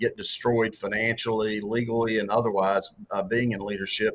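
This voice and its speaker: The speaker has a strong Southern US accent. The delivery is monotone and flat at a moderate pace. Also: man. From US South. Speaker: author and former political candidate. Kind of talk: interview. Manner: halting, many repeated words and fillers.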